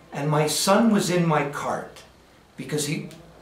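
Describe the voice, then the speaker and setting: Noticeable background noise and audible room echo surround a man with a Canadian accent who speaks at a very slow pace in a fairly high pitch. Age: 70s. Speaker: patient giving testimonial. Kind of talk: testimony. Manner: halting, many fillers.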